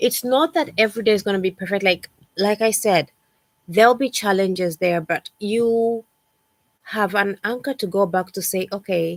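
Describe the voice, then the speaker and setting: A woman with a plain, everyday voice talks at a moderate pace and medium pitch, with ordinary pitch variation and a dry, close sound with no echo. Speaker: lifestyle coach. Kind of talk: livestream talk. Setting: livestream.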